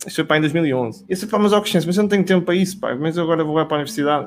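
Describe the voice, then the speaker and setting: A man speaks at a very fast pace in a high voice for a man, with ordinary pitch variation. Noticeable background noise runs under the recording. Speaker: business professional. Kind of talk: casual chat.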